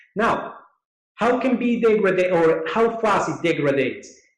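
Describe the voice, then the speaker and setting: A man talks at a very slow pace. Room echo is audible. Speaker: dental surgeon presenting webinar. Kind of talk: webinar lecture.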